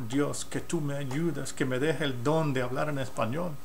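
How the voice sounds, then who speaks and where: With an English accent, a man talks at a fairly slow pace in a fairly high pitch and fairly even intonation, with audible room echo and noticeable background noise. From United States. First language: English (speaking Spanish). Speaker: pastor and missionary. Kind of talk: sermon. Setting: recorded video teaching.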